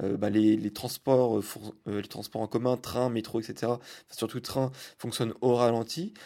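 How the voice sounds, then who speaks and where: A man's medium-pitched voice with a dark, mellow tone at a fairly slow pace, in a very clean recording with a silent background. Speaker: podcast host. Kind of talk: travel diary monologue. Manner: halting, many fillers.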